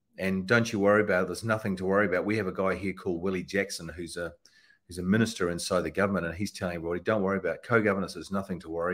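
With a New Zealand accent, a man speaks at a very fast pace in a very deep, low pitch with fairly even intonation. The recording is very clean, with a silent background. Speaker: political campaigner. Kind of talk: interview.

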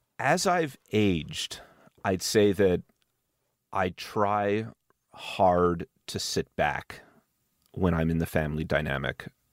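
A man speaks at a very slow pace in a very deep, low voice, with ordinary pitch variation and long, frequent pauses. The recording is very clean with a silent background, and the sound is dry and close with no echo. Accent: Montreal. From Montreal, Quebec, Canada. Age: 40s. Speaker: tech startup CEO. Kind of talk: interview conversation.

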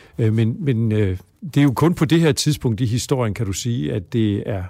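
Recorded very cleanly against a silent background, a man with an unremarkable speaking voice at medium pitch speaks with lively intonation. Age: 60s. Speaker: psychology professor. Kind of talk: interview.

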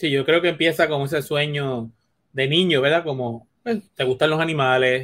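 At a moderate pace, a normal speaking voice carries ordinary variation in pitch. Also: man. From Puerto Rico. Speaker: veterinarian. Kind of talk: interview.

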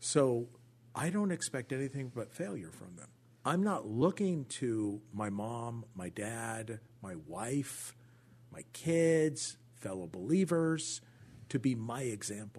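A man with an American accent speaks at a very slow pace and a medium pitch. His voice makes very wide pitch swings and big swings in loudness. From Orange County, California. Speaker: pastor. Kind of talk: testimony. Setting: studio.

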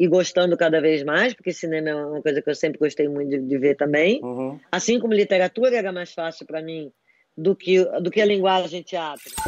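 Using a normal speaking voice, a woman speaks at a fairly low pitch with lively intonation. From Brazil, Recife (raised from 11 to 30, born in Rio). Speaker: writer and screenwriter. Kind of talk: casual interview chat.

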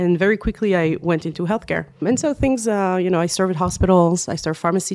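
Speaking at a fairly quick pace, a woman with a French accent has a fairly low pitch, captured in a very clean recording with a silent background. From France. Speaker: management consultant. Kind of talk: interview conversation. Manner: frequent fillers and hesitations.

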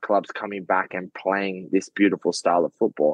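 A man with an Australian accent, fairly low pitch, fairly even intonation and a moderate pace, in a dry, close sound with no echo. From Australia, Sydney. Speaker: professional footballer. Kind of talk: casual chat.

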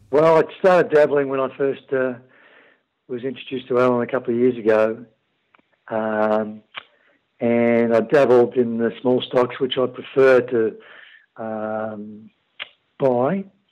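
Fairly slow male speech broken by long, frequent pauses. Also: medium pitch for a man, ordinary pitch variation. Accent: Australian. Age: 50s. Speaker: emergency services worker. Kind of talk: interview. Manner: halting, many fillers.

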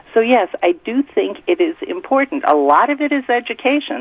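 Very wide pitch swings from a woman at a moderate pace, noticeable background noise behind her. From US Midwest. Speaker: activist. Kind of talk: phone-in interview. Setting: phone call.

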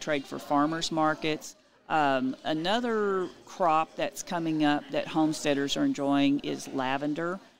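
Speaking with a Texan accent, a woman uses a very deep, low pitch and lively intonation at a moderate pace. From Texas Hill Country (Utopia, Texas). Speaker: realtor and homesteading expert. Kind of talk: interview.

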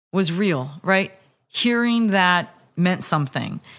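A woman with an American accent, a very slow pace and ordinary pitch variation. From California Central Valley. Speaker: politician. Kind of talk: interview. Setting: at home.

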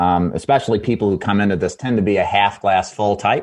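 A man's fairly low-pitched, normal speaking voice at a fairly quick pace against a quiet background. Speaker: insurance sales trainer. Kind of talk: radio interview.

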